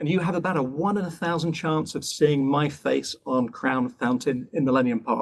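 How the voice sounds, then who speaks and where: A man with a British accent talks at a moderate pace with hardly any pauses. His fairly high pitch shows ordinary pitch variation. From England (Bath and London). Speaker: professor. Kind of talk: lecture. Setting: online webinar. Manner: brisk.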